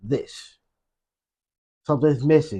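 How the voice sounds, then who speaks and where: Fairly high in pitch, a man speaks in a dark, mellow tone at a fairly slow pace. The background is quiet. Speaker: YouTube reaction creator. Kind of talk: reaction commentary.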